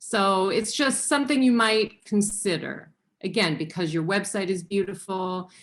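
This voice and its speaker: A woman with an American accent and an ordinary speaking voice, medium pitch, ordinary pitch variation and very even loudness. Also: moderate pace. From Illinois, US. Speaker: professor of landscape preservation. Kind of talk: online presentation.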